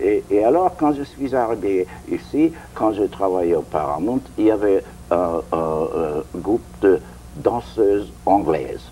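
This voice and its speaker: A man at a very slow pace, fairly low in pitch with very wide pitch swings, a slight non-native accent and music in the background. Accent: foreign accent, slight in French. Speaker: interviewee, former show producer. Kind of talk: interview. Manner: halting.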